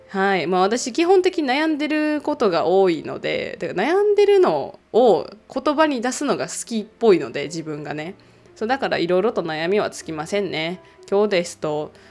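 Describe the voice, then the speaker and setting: The speaker moves at a moderate pace while the pitch swings very widely up and down. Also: woman, medium pitch for a woman. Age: 30s. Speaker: podcast host. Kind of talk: casual solo talk.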